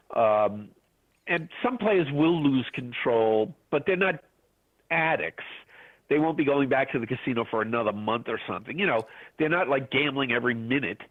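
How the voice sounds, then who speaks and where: A man with an American accent uses an unremarkable speaking voice at a medium pitch and a moderate pace. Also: lively intonation. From New York City (Brooklyn). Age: 60s. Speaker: author and gambling writer. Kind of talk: interview.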